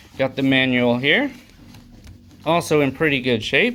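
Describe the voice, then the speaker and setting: At a moderate pace, a man talks in an ordinary speaking voice of medium pitch. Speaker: retro game store owner showing trade-ins. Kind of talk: casual video showcase. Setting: recorded to camera. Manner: casual, many filler words.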